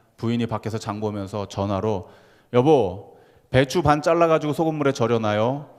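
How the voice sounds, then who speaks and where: With a Gyeongsang accent, a man speaks at a moderate pace. His voice is medium-pitched with ordinary pitch variation. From Gyeongsang region, South Korea. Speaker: pastor. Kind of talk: sermon.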